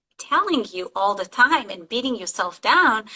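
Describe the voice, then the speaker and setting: Bright, sharp tone and lively intonation, with a non-native accent. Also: woman. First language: not English. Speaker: interview host. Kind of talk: interview. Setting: live video interview. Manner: animated.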